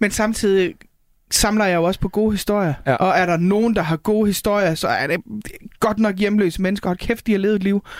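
A woman's unremarkable speaking voice, medium pitch, ordinary pitch variation, fairly quick pace, very even loudness, very clean recording, silent background. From North Jutland, Denmark. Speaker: stand-up comedian. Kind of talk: casual chat.

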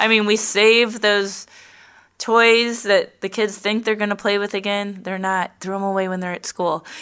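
At a moderate pace, a woman with a medium pitch speaks in a bright, sharp tone with monotone, flat intonation on a very clean recording with a silent background. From St. Louis, Missouri (South County). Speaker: real estate agent. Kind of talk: casual interview.

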